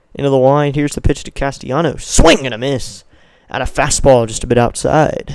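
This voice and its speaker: Delivered at a fairly quick pace, a man's fairly high-pitched voice, an unremarkable speaking voice, carries fairly even intonation. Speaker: baseball play-by-play streamer. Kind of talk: live commentary. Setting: live stream.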